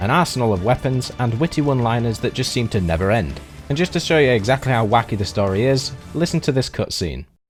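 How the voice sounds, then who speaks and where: Very fast, lively speech from a man with a British accent at a medium pitch, with music in the background. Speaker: video game reviewer. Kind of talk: game review narration. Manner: casual.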